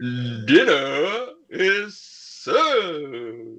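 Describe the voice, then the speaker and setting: In a put-on character voice, a man talks at a high pitch. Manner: commanding.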